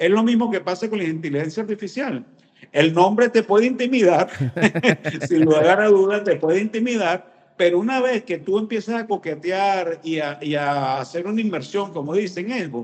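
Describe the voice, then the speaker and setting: Lively intonation at a moderate pace. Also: man, high pitch for a man. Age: 60s. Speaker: business consultant. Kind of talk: interview.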